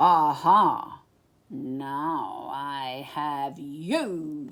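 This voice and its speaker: In a put-on character voice at middle pitch, the speaker takes on a menacing tone, recorded very cleanly against a silent background. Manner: menacing, shouted.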